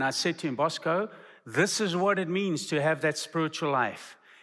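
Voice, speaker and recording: The speaker has an unremarkable speaking voice with ordinary pitch variation and a moderate pace, on a very clean recording with a silent background. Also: man. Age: 50s. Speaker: missions professor and preacher. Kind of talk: sermon. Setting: seminary chapel.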